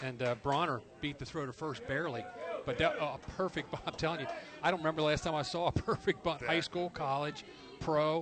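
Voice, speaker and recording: Over noticeable background noise, a fairly high-pitched man speaks at a fairly quick pace with ordinary pitch variation. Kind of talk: colour commentary, casual analysis alongside the play-by-play. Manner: relaxed, conversational, chatty and knowledgeable.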